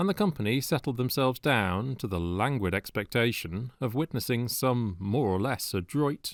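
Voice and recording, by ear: Someone reads aloud in a natural voice. Lively intonation runs through it.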